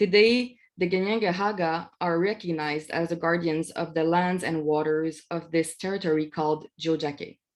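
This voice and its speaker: With a non-native accent and hardly any pauses, a woman speaks at a moderate pace and a fairly low pitch with fairly even intonation. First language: not English. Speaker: academic researcher. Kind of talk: webinar presentation. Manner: halting, many fillers.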